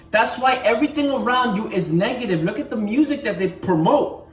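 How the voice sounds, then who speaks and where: Noticeable background noise accompanies talking delivered at a moderate speed. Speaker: fitness and motivational vlogger. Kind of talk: motivational talk to camera.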